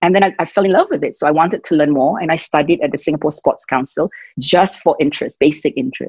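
Quiet background, dry sound with no echo, and a woman speaking. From Singapore. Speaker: fitness and wellness entrepreneur. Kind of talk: interview answer. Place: home room. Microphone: video call.

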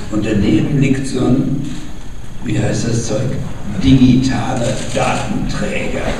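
In a room with strong echo and noticeable background noise, a man speaks at a very slow pace with fairly even intonation and long, frequent pauses. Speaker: book publisher. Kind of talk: spoken anecdote, informal talk. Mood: playful, anecdotal. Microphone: camera far.

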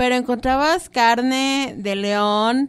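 Her pitch varies in an ordinary way as a woman talks. Nothing can be heard behind her on this very clean recording. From Mexico. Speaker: cooking show host. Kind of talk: radio show hosting. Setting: radio booth.

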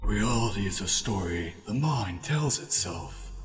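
A man speaking at a fairly slow pace over clear background noise. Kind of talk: fan audio drama. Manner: brooding, philosophical.

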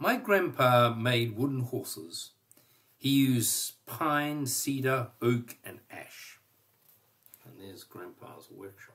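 Against a quiet background, a man talks at a very slow pace, with big swings in loudness and ordinary pitch variation. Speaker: storyteller. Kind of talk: reading a children's story aloud. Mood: warm, gentle storytelling. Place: home room. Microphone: webcam.

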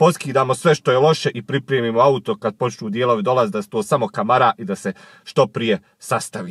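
The speech comes at a very fast pace and is somewhat breathy. The sound is dry, with no echo. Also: man. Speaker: car vlogger. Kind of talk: casual vlog chat. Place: car. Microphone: phone near.

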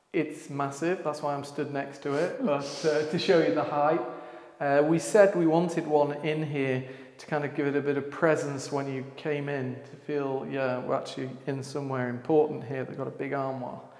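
A man talks at a moderate pace in a monotone, flat delivery. There is audible echo from the room. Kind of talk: casual vlog chat. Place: hall. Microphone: lapel.

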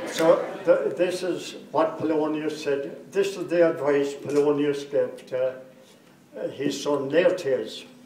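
A man speaks very slowly at a fairly high pitch, with fairly even intonation. Audible room echo and light background noise surround him. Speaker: grandfather giving wedding speech. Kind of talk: wedding speech. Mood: humorous storytelling. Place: hall. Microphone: pa.

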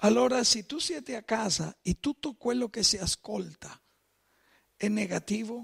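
A man with a Spanish accent talks at a fairly slow pace in a high pitch with ordinary pitch variation, against a quiet background. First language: Spanish (speaking Italian). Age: 50s. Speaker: pastor. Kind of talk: sermon. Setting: church. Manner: mixes Spanish and Italian. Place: church.

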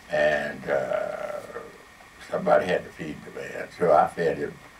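Noticeable background noise runs behind a man speaking with an American accent. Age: 80s+. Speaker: radio personality. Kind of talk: interview answer. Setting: live audience, event hall. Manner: soft-spoken.

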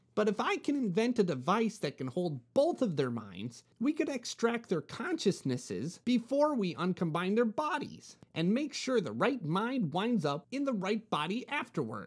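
A put-on character voice sits at a fairly high pitch with very wide pitch swings and hardly any pauses. The pace is moderate, and the recording is very clean with a silent background. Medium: read story. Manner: earnest, explanatory.

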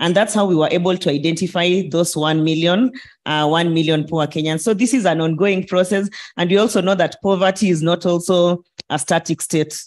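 A normal speaking voice at a fairly quick pace, with fairly even intonation, very even loudness and a quiet background. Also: woman, fairly low pitch for a woman. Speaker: panelist. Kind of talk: panel discussion answer. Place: hall. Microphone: handheld.

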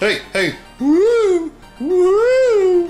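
A put-on character voice at an extremely high pitch, with clear music playing in the background. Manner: spooky, wailing.

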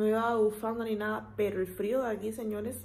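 A woman speaks with a dark, mellow tone. Her voice is somewhat breathy. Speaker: vlogger. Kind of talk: casual vlog chat. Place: home room. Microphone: phone near.

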